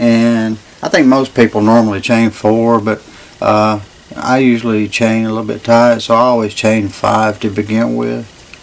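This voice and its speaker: A man speaks in a flat monotone. There is noticeable background noise behind him. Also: medium pitch for a man, moderate pace. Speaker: crochet instructor. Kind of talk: tutorial instruction. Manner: stammering.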